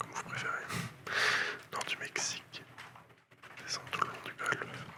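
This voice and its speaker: Noticeable noise surrounds a man who whispers in a relaxed tone. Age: 20s. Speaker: ASMR content creator. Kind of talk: ASMR whispered reading of encyclopedia articles for sleep. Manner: whispered, soft-spoken, relaxed.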